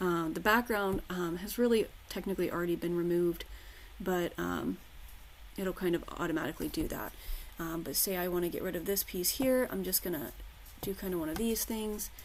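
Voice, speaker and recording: The woman speaks at a fairly quick pace. Her fairly low pitch shows ordinary variation. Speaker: crafting tutorial creator. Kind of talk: screen-share tutorial. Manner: fast; casual with frequent fillers.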